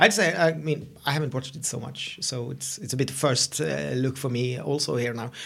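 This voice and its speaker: With a Swedish accent, a man speaks at medium pitch and a moderate pace, with ordinary pitch variation, hardly any pauses, and noticeable background noise. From Sweden. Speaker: podcast co-host. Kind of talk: casual chat. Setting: meeting room used as studio.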